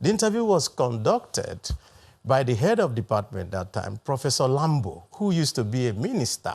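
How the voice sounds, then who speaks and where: Somewhat breathy, a man talks at a moderate pace with very wide pitch swings. The background is quiet. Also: medium pitch for a man. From Nigeria. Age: 60s. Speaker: senator. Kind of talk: TV interview.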